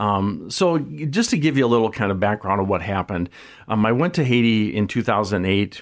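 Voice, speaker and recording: Talking at a fairly quick pace with a fairly low pitch, a man with an American accent uses lively intonation. His loudness is very even, and the recording is very clean with a silent background. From US Midwest, South Dakota. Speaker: nonprofit founder and author. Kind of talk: radio interview. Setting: studio.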